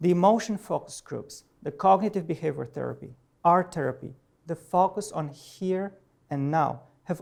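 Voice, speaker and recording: A man's high-pitched voice in a Romanian accent, dark and mellow in tone, at a moderate pace with ordinary pitch variation. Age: 40s. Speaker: professor. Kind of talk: personal talk to an audience. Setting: presentation with audience. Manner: halting.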